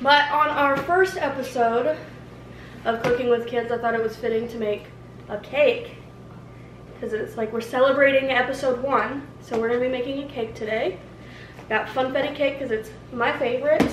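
Over noticeable background noise, a woman speaks in a high pitch at a moderate pace. She leaves long, frequent pauses, and her pitch variation is ordinary. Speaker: mother hosting a cooking show. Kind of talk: casual vlog chat. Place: kitchen. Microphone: camera far.

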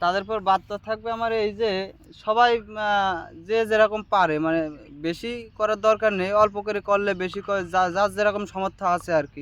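A man with a high pitch speaks in fairly even intonation on a very clean recording with a silent background. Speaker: part-time farmer. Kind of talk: interview.

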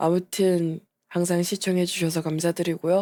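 A woman's fairly low, dark and mellow voice in a flat monotone, on a very clean recording with a silent background. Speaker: VTuber. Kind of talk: casual vlog update.

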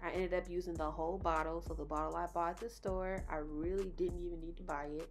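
A woman talks at a fairly quick pace. Light background noise is present. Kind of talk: tutorial. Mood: relaxed, cheerful. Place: kitchen. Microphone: phone near.

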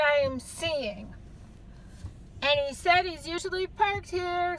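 A woman in a New York accent with extremely high pitch and ordinary pitch variation, at a fairly slow pace with long, frequent pauses, in a dry sound with no echo and light background noise. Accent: New York City. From New York City. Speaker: person filming from a car. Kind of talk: casual vlog talk. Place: car. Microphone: phone near.

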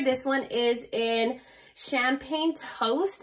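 A high-pitched woman's voice with ordinary pitch variation against a quiet background. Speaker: beauty vlogger. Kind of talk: unboxing review. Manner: animated. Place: home room. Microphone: phone near.

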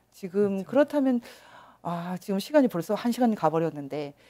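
A woman with a medium pitch and a dark, mellow tone speaks with very wide pitch swings. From South Korea. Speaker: interviewer host. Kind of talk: interview. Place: studio. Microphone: lapel.

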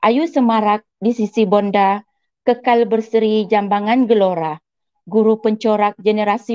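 With a dark, mellow tone and a fairly high pitch, a woman speaks at a fairly slow pace against a quiet background. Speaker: school counselor, moderator; moderator. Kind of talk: moderating webinar. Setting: online webinar. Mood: warm, cheerful. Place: home room. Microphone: earbuds.

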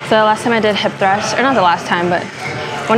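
A woman is speaking over noticeable background noise. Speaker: fitness vlogger. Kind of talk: casual vlog chat. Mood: relaxed, slightly exasperated. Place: gym. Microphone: lapel.

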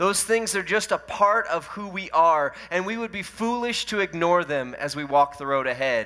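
A man talks at a moderate pace with a bright, sharp tone. His pitch varies in an ordinary way, and the background is quiet. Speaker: lead pastor. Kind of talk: sermon. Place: church. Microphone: headset.

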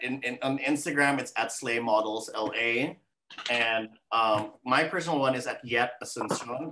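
A man talks fairly slowly, his intonation fairly even, with noticeable background noise behind him. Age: 40s. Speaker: model agency owner. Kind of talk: interview. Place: home room. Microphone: webcam.

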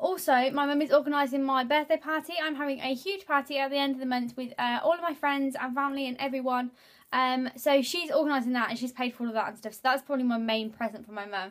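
Talking very fast with hardly any pauses, a woman uses a high pitch with ordinary variation over a quiet background. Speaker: beauty vlogger. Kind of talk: casual vlog chat. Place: home room. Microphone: phone near.

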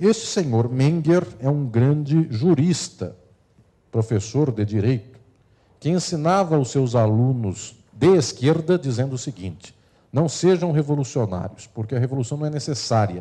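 A man speaks at a fairly slow pace with lively intonation. His tone is dark, mellow and somewhat breathy, over a quiet background. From Brazil. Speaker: law lecturer. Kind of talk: lecture. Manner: formal. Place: hall. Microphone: handheld.

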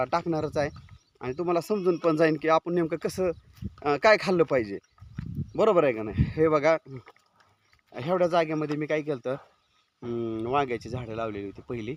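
Recorded dry and close with no echo, a man with an unremarkable speaking voice has a fairly high pitch and ordinary pitch variation. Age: 40s. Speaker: goat farmer and YouTuber. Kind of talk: casual vlog walkthrough. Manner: informal conversational.

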